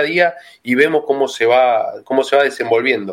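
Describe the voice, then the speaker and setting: A man with an ordinary speaking voice, moderate pace and ordinary pitch variation. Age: 30s. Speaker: football fan. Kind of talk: casual chat.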